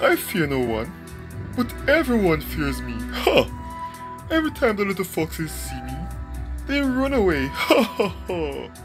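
A cartoonish character voice over clear background music. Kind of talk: cartoon character voice. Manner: boastful, laughing, grandiose.

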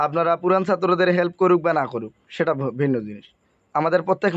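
A man's ordinary speaking voice, fairly high in pitch, with ordinary pitch variation. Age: 30s. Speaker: Islamic spiritual healing course teacher. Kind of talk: promotional talk to students. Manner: repetitive, conversational.

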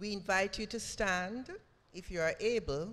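A woman talks at a very slow pace. Her intonation is lively. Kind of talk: church service announcements and liturgy. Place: church. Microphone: podium.

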